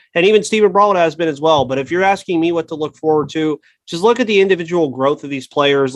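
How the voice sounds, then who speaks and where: A man's normal speaking voice, fairly high in pitch, at a fairly quick pace with ordinary pitch variation. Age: 20s. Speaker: sports podcast host. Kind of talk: casual sports talk.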